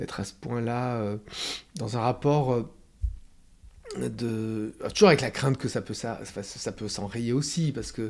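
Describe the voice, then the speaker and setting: A man talks at a very slow pace with ordinary pitch variation. His loudness swings widely. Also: medium pitch for a man. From France. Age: 60s. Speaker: playwright and theatre director. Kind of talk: interview. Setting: theatre dressing room. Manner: halting, many fillers.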